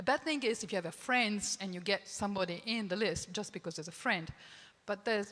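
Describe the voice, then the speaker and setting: Speaking with an Italian accent, a woman uses a medium pitch. Her pace is moderate and her pitch varies an ordinary amount. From Italy. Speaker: film festival programmer. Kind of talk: panel discussion. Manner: halting.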